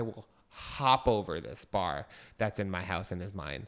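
An animated tone comes through at a moderate pace on a very clean recording with a silent background. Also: man. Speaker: podcast co-host. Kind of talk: casual comedic chat. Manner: animated, excitable.

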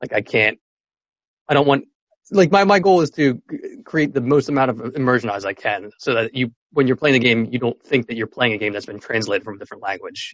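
An ordinary speaking voice moves at a fairly quick pace. Its intonation is lively. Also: man, medium pitch for a man. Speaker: game localization professional. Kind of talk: interview.

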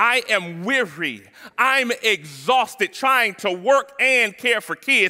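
With an extremely high pitch, a man speaks slowly in a bright, sharp tone with lively intonation.

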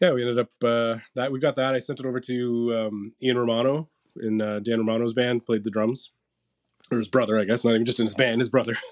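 Speaking with a Canadian accent, a man of medium pitch talks at a very fast pace. His intonation is flat and monotone, and the sound is dry and close with no echo. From St. Catharines, Ontario. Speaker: marketing and PR agency co-owner, musician. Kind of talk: casual interview chat.

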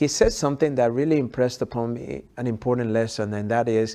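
This man speaks at a medium pitch with a dark, mellow tone and fairly even intonation against a quiet background. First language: not English. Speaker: health expert and author. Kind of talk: interview conversation.

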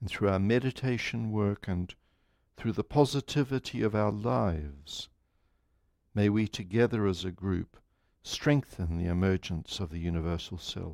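A man's fairly low, unremarkable speaking voice with lively intonation, in a dry, close sound with no echo. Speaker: meditation group leader. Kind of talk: guided meditation. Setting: live group meeting broadcast online. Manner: slow, calm, measured; formal, solemn.

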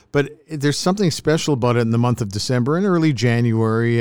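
Using a plain, everyday voice, a man speaks at a medium pitch with lively intonation. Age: 60s. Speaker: podcast host, former radio broadcaster. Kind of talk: casual chat.

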